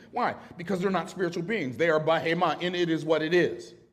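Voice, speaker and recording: A man's fairly high-pitched voice at a fairly quick pace. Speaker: speaker on wealth and faith. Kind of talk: seminar talk. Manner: loud.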